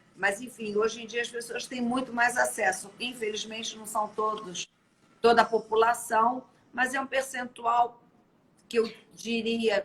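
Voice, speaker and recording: A woman's fairly high voice at a fairly slow pace, monotone and flat in intonation, with big swings in loudness. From Brazil. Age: 50s. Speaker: live-stream host. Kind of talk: casual interview chat. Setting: live stream.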